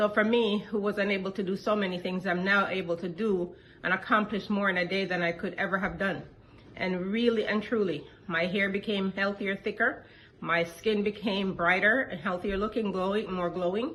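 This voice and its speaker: A woman speaks at a moderate pace in an ordinary speaking voice, her medium pitch held to a fairly even intonation. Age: 60s. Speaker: product testimonial giver. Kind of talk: testimony.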